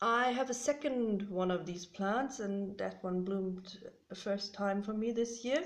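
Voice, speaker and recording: Speaking with a German accent, a woman has a medium-pitched voice. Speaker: orchid hobbyist vlogger. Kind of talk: casual show-and-tell vlog. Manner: hesitant, many fillers.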